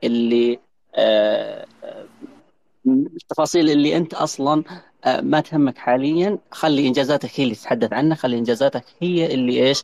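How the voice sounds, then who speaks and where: A man's fairly high voice with ordinary pitch variation, dry and close with no echo. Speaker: audience participant working professional. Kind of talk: casual panel discussion. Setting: online audio room.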